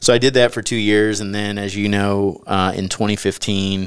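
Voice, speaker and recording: A man with a Texan accent, fairly low in pitch, fairly quick in pace, with monotone, flat intonation. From US South. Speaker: author and former company CEO. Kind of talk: interview testimony.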